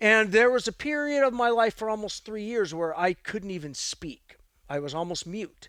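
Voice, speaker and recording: A man speaks at a high pitch in an American accent, at a moderate pace. The recording is very clean, with a silent background. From Northern California, Santa Cruz. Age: 50s. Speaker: martial arts coach. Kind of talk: interview conversation. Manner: halting, repeats sounds.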